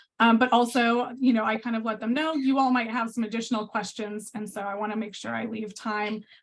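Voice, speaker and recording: A fairly high-pitched, somewhat breathy woman at a fairly quick pace, with monotone, flat intonation and hardly any pauses. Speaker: workshop presenter. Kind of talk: presentation. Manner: fast.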